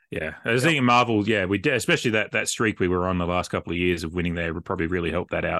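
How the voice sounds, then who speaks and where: Very fast speech comes from a man with an Australian accent, whose very deep, low voice has a bright, sharp tone against a quiet background. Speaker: football podcaster. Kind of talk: casual chat.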